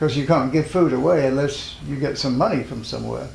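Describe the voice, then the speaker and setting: A man speaks in a room with audible echo. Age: 70s. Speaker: spiritual teacher and health food pioneer. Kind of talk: interview.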